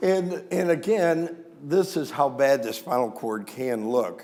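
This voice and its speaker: A man with an American accent speaks with lively intonation. Room echo can be heard. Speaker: veterinary neurologist. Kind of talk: lecture. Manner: hesitant fillers.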